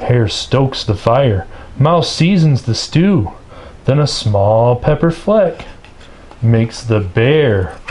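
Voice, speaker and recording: The loudness stays very even throughout. Noticeable background noise can be heard. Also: man. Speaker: storybook reader. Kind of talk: children's picture book read-aloud.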